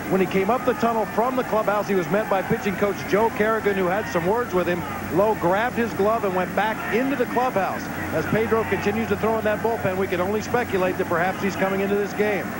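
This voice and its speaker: Over noticeable background noise, the speaker talks at a very fast pace with fairly even intonation and very even loudness. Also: man, high pitch for a man. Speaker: field reporter. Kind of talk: live sports commentary. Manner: crisp, reporting.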